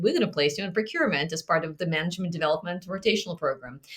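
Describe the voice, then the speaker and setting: Against noticeable background noise, a woman with a fairly low pitch speaks in a lively intonation. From Russia. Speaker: procurement executive. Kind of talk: roundtable discussion.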